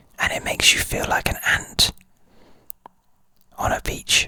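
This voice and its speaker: A man is whispering at a very slow pace. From United Kingdom. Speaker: licensed drone pilot. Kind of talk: ASMR whispered introduction and ramble. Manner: whispered.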